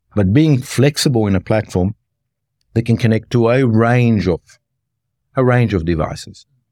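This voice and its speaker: The tone is dark and mellow, and the sound is dry and close with no echo in a very clean recording with a silent background. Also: man. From Australia, rural Victoria (Mildura area). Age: 50s. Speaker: health tech executive. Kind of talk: interview conversation.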